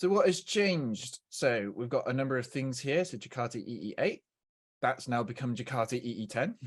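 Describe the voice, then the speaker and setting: A man speaks with a plain, everyday voice at medium pitch. His pace is moderate and his intonation lively. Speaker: software engineer presenting a webinar. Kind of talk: technical webinar presentation. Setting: online webinar. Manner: many filler words (uh, um).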